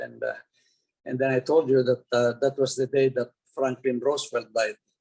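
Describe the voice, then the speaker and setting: A man at medium pitch, with monotone, flat intonation. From Philippines. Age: 90s. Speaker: retired oil company executive. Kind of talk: interview. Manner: halting, many repetitions.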